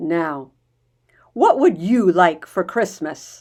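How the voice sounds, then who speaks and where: In a put-on character voice, a woman growls at a medium pitch with lively intonation. She speaks at a very slow pace on a very clean recording with a silent background. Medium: read story.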